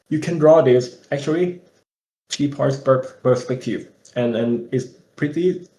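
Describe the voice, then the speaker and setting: With a Thai accent, a man speaks in a somewhat breathy, dark, mellow tone. His pitch is fairly high and his intonation fairly even. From Thailand. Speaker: environment concept artist. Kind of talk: webinar Q&A. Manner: halting.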